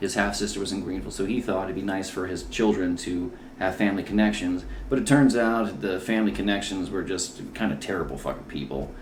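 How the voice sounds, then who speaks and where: An American-accented man speaks at a very fast pace with a very deep, low pitch and ordinary pitch variation. Noticeable background noise and audible room echo are present. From South Carolina (military brat, from sixth grade). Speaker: comedian. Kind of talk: casual chat. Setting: at home.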